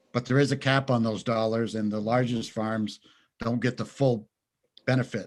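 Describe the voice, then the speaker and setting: A man speaks in a Vermont accent at a moderate pace. His intonation is flat and monotone. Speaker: dairy farmer. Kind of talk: legislative testimony. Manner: formal.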